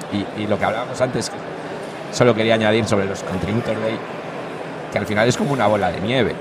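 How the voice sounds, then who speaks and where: A man speaks at a very fast pace in a monotone, flat intonation. There is audible room echo and noticeable background noise. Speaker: community organizer. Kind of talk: casual chat.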